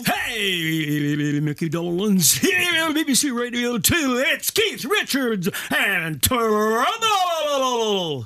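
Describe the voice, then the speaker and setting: A put-on character voice speaks at a very slow pace with fairly high pitch. Its pitch swings very wide. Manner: cheesy, annoying.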